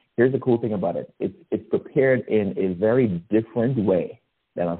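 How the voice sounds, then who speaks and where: A man speaks at a moderate pace with a Guyanese accent. His pitch is medium. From Guyana. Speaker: storyteller sharing a holiday memory. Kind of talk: personal anecdote, recipe description.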